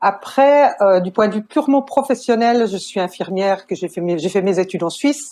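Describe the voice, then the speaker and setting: Speaking at a moderate pace with hardly any pauses, a woman uses lively intonation at a medium pitch. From Switzerland. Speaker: nurse and family counselor. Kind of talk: podcast interview.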